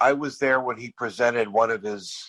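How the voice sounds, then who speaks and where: A man's voice with fairly even intonation. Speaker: podcast host. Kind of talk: casual chat.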